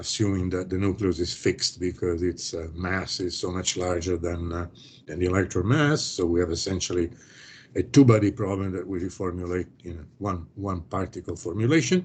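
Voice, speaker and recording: A man talks at a fairly quick pace in a very deep, low voice. His sound is somewhat breathy. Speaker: professor. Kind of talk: lecture. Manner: fast; hesitant, many fillers.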